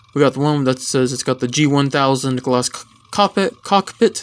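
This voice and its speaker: A man mumbles in a put-on character voice at a medium pitch. His pace is moderate and his pitch variation ordinary. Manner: mumbling.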